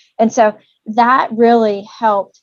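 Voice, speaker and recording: With a Southern accent, a woman speaks at a medium pitch. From Tennessee, Nashville. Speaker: commercial real estate broker. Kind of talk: interview.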